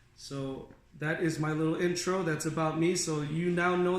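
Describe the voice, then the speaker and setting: With audible room echo and noticeable background noise, a man talks in a fairly high pitch and a monotone, flat intonation. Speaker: auto detailer. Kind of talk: presentation to clients. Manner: casual, conversational.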